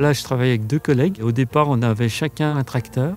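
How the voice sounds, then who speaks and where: There is music in the background. The intonation is fairly even. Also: man. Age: 60s. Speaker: farmer. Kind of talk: interview testimony. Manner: hesitant with frequent fillers.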